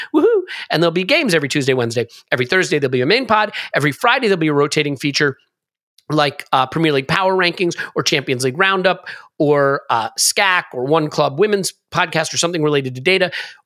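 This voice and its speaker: The voice is animated, bright and sharp in tone. It races at a very fast pace with lively intonation. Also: man, fairly high pitch for a man. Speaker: football podcast host. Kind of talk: casual chat. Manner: fast talker.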